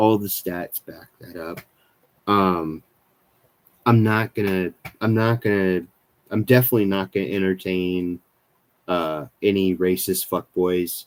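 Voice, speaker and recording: A man with a very deep, low pitch and an American accent mumbles with fairly even intonation, leaving long, frequent pauses and swinging widely in loudness. The sound is dry and close, with no echo. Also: fairly slow pace. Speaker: skateboarding youtuber. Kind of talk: live stream chat. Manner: halting, many fillers; mumbling.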